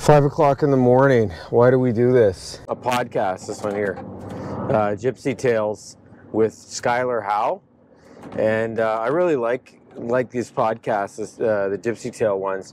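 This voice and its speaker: With a Canadian accent, the speaker goes at a fairly slow pace with ordinary pitch variation, in a dry sound with no echo and light background noise. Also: man. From Ontario, Canada. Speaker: dirt bike racer and video creator. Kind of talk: casual vlog narration.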